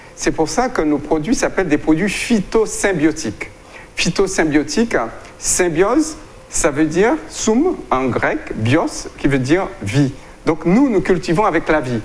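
This man's voice sits high in pitch and swings very widely. He speaks at a fairly slow pace. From Guadeloupe. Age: 60s. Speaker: doctor and plant-products entrepreneur. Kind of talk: interview. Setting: studio. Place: studio. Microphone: lapel.

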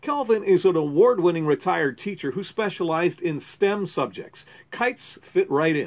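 Here a man talks at a high pitch with lively intonation. His pace is moderate, with hardly any pauses. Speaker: TV news reporter. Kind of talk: TV news report narration.

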